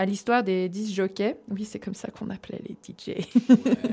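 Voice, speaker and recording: A woman speaks at a fairly slow pace. Her pitch is medium, in an ordinary speaking voice. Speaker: radio host presenting music segment. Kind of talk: casual chat.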